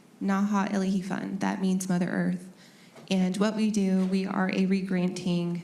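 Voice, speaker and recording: In an American accent, a woman speaks at a moderate pace and medium pitch. Audible room echo and noticeable background noise are present. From US Pacific Northwest, Yakama Nation. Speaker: foundation staff member. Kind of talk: panel discussion.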